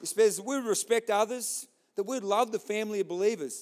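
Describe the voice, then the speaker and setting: The voice has an Australian accent. It moves at a fairly quick pace. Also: man. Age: 40s. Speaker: pastor. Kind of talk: sermon. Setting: church.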